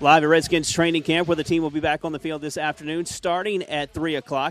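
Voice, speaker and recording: Noticeable background noise runs through the clip. Over it, a man talks at a fairly high pitch. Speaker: sports news anchor. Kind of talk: news reading.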